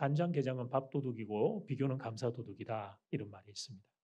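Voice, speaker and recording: Ordinary pitch variation and a dark, mellow tone mark speech that moves at a fairly quick pace. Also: man. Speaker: pastor. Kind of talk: sermon. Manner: loud.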